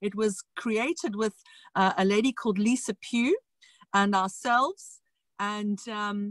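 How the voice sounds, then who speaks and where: A woman with a South African accent speaks at a fairly slow pace in a fairly high voice with ordinary pitch variation, recorded dry and close with no echo. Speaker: education entrepreneur. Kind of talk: interview. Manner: animated.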